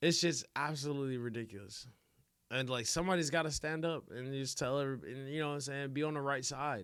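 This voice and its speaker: Recorded very cleanly against a silent background, a man with a fairly high pitch talks at a very fast pace. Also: ordinary pitch variation. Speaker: streamer reacting to videos. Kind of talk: live stream reaction. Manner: animated.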